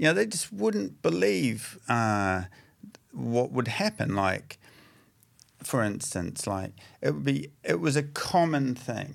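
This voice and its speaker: With a New Zealand accent, a man of medium pitch talks at a very slow pace, leaving long, frequent pauses and swinging his pitch very widely. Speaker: addiction recovery practitioner. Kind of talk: casual chat. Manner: halting.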